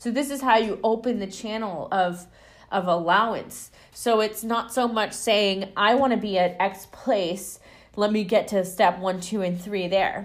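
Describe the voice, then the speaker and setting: Her voice is a plain, everyday voice at a medium pitch for a woman. She speaks at a fairly slow pace with fairly even intonation. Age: 20s. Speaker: spiritual podcast host. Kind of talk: solo monologue.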